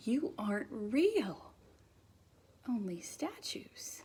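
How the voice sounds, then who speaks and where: A woman does a put-on character voice that is squeaky and high-pitched. She swings very widely in pitch and speaks very slowly. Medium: read story.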